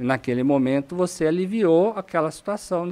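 A man with an ordinary speaking voice, fairly high in pitch, talks at a moderate pace with lively intonation. The recording is very clean, with a silent background. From Brazil, São Paulo state (Itu/Sorocaba). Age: 40s. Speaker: oncologist. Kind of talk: podcast interview.

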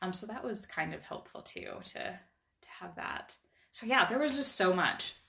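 A plain, everyday voice, a woman at medium pitch speaking fairly slowly, with lively intonation and big swings in loudness. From Idaho. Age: 40s. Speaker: life coaching client. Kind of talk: casual interview. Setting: in person.

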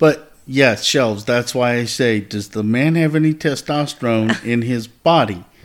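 At a fairly slow pace with hardly any pauses, a man speaks at a medium pitch with ordinary pitch variation in a plain, everyday voice. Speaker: podcast co-host. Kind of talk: casual chat.

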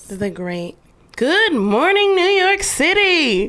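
In a put-on character voice, a woman uses a raised, projected voice at an extremely high pitch with very wide pitch swings and a fairly slow pace. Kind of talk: broadcast radio announcer. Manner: upbeat, mock-cheerful.

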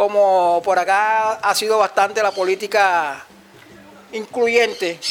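Keeping his intonation fairly even, a man with a high voice talks at a very slow pace. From Cartagena, Colombia. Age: 50s. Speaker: community leader. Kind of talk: interview testimony. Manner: halting.

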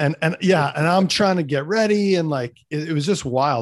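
A fairly quick delivery in a Manitoban accent, on a very clean recording with a silent background. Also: man. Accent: Canadian (Manitoba). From Canada, Winnipeg. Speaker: fitness coach and former pro hockey player. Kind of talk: casual interview chat. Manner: animated.

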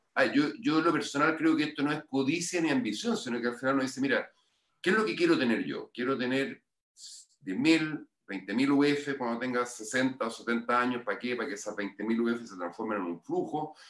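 Speaking with a Chilean accent, a man at medium pitch uses lively intonation and keeps a moderate pace. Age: 50s. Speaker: financial education consultant. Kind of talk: interview.

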